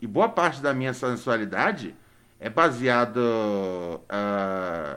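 This man speaks very slowly at a medium pitch, his intonation lively. His tone is bright and sharp. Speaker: podcast host. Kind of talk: casual chat. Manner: animated.

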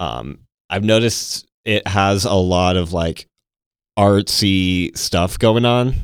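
Over a very clean recording with a silent background, a man with an American accent speaks very slowly in a very deep, low voice. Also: ordinary pitch variation. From Texas (Temple). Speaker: podcast host. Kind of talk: casual chat. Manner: enunciating carefully.

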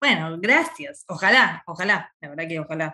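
A woman with a Rioplatense accent, bright and sharp in tone, at a fairly slow pace. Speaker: podcast co-host, veterinarian. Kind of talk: casual interview.

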